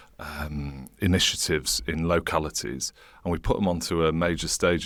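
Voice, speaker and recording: Very deep, low male voice, with vocal fry and ordinary pitch variation. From northern England, Leeds. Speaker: charity and think tank chief executive. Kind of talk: interview conversation. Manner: animated.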